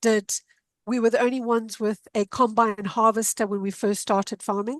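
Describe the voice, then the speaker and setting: A woman's fairly high voice with monotone, flat intonation. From Zimbabwe. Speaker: senior analyst, accountant. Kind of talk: interview, personal story.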